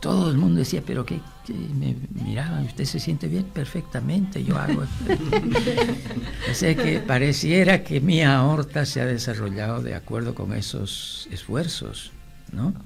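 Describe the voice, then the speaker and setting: A man talks fairly slowly with music playing in the background. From Bolivia, Santa Cruz, raised in La Paz. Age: 90s. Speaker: muralist. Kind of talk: radio interview. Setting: radio studio.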